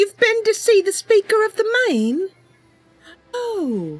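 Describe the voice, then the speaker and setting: A woman's put-on character voice, extremely high in pitch, over faint music in the background. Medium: game stream. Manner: earnest, eager, friendly.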